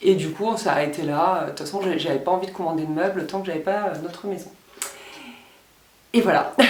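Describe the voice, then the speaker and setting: Audible room echo and noticeable background noise fill the recording. The pace is fairly quick, yet long, frequent pauses appear, and the intonation stays fairly even. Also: woman, medium pitch for a woman. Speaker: beauty and lifestyle vlogger. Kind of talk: casual vlog talk to camera. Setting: at home, filming in her room. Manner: louder than usual; soft-spoken.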